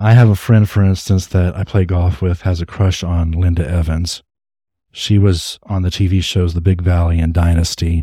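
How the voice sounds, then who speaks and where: Somewhat breathy, a man's very deep, low voice carries a dark, mellow tone. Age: 40s. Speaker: podcast host, retired dentist. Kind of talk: solo podcast monologue.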